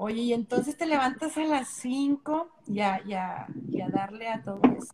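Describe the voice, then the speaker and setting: Against noticeable background noise, a woman speaks at a fairly slow pace in a high pitch with ordinary pitch variation. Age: 30s. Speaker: dance and Zumba instructor. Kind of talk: casual chat. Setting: Instagram live video stream.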